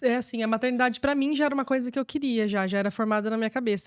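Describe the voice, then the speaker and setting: The speaker is a woman with a high pitch. The variation in her pitch is ordinary. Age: 30s. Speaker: mother and marketing worker. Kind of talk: casual interview.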